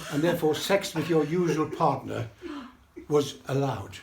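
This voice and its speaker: Pitch variation is ordinary and the pace is moderate. Behind the speech sit noticeable background noise and audible room echo. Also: man. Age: 80s+. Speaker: birthday celebrant. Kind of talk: speech to party guests. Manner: rambling with repetitions.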